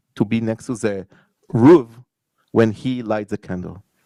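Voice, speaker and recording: A man speaks in a dark, mellow tone with an Israeli accent. The recording is very clean, with a silent background. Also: dry, close sound with no echo. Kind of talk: conference panel talk.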